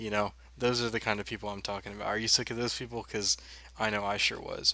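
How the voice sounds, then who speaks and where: Quiet and very fast, a man speaks in a flat monotone with a bright, sharp tone and fairly low pitch. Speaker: online marketing coach. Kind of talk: webinar tutorial. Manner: quiet, low-spoken; casual, conversational.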